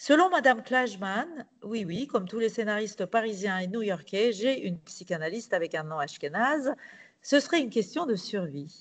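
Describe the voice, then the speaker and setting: A woman with a Turkish accent, fairly high in pitch, with very wide pitch swings at a moderate pace against a quiet background. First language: Turkish (speaking French). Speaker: novelist and playwright. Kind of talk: reading aloud.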